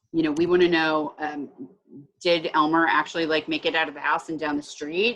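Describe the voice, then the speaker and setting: Talking at a very fast pace, a woman uses a very deep, low-pitched voice. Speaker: behavioral health program trainer. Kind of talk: staff training walkthrough.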